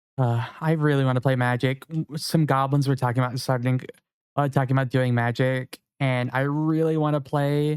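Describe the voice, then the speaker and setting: In a dry, close sound with no echo, a man speaks at a medium pitch with monotone, flat intonation and very even loudness. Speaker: video game streamer. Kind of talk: casual live stream chat. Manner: fast.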